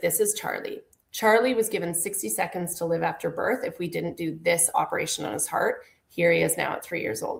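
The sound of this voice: A woman puts on a raspy character voice. She talks at a fairly quick pace.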